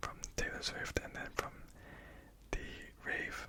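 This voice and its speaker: A woman whispers very slowly while noticeable background noise goes on around her. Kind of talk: ASMR whispered ramble to camera. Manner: soft-spoken, whispered.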